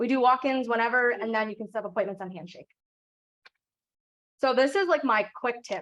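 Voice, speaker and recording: A woman at a very fast pace. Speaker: PT student and career services assistant. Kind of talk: workshop presentation. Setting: in-person event.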